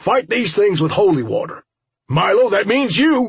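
A man puts on a character voice, pitched high with a husky, rough edge. He speaks at a fairly slow pace with big pitch swings.

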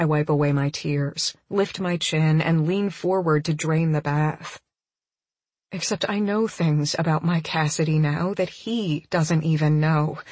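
The speaker is a woman with a low voice. Her pitch shows ordinary variation. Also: fairly slow pace, slightly mellow tone.

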